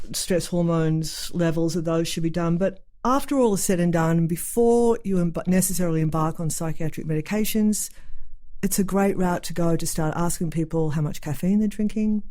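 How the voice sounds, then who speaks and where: A woman speaks with a dark, mellow tone and fairly low pitch. Her pace is moderate, her loudness very even, and her pitch variation ordinary. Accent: Australian. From Australia. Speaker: psychiatric nurse practitioner. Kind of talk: casual interview chat.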